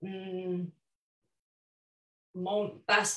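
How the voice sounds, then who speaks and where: A woman is speaking. She has a Romanian accent. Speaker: photographer and author. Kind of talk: virtual book launch talk. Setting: virtual event. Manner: halting, many fillers.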